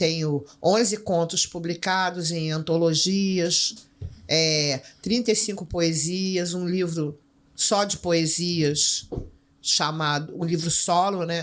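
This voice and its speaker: A woman in a Rio de Janeiro accent, fairly low-pitched, with fairly even intonation and a very slow pace. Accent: Rio de Janeiro Portuguese (carioca). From Brazil, Rio de Janeiro favela. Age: 60s. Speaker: writer and teacher, former drug trafficker. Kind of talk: podcast interview.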